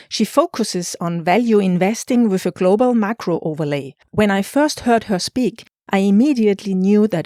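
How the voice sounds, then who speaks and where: The speaker has a German accent. The recording is very clean with a silent background and a dry, close sound with no echo. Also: woman. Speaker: podcast host. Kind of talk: scripted podcast intro.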